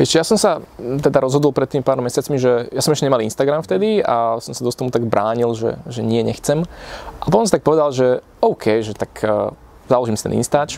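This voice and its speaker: There is noticeable background noise as a man of medium pitch speaks at a fairly quick pace with ordinary pitch variation. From Slovakia, Piešťany. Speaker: entrepreneur. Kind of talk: casual interview.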